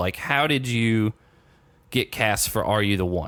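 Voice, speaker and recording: Recorded very cleanly against a silent background, a man with an American accent has an unremarkable speaking voice and a fairly low pitch. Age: 20s. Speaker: podcast host. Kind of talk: interview. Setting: podcast.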